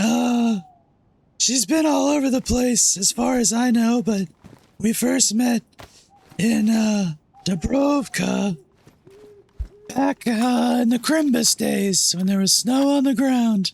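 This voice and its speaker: Doing a put-on character voice, a man speaks at an extremely high pitch and a fairly slow pace, with long, frequent pauses. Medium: machinima. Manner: friendly, refers to itself in third person.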